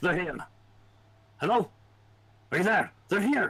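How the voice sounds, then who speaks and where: Putting on a character voice, a man speaks at a high pitch and a moderate pace. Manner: urgent, alarmed.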